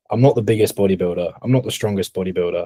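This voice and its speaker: Somewhat breathy, a man speaks in a medium-pitched, dark, mellow voice. The sound is dry and close with no echo. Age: 20s. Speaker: podcast co-host, bodybuilding coach. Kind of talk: casual chat. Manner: animated.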